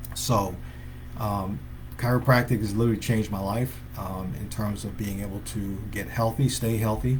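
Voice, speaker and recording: The man's voice has vocal fry and a fairly low pitch. He talks at a moderate pace, with audible room echo. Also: lively intonation. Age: 60s. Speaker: chiropractor. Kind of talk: live stream talk to viewers. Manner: halting, many fillers.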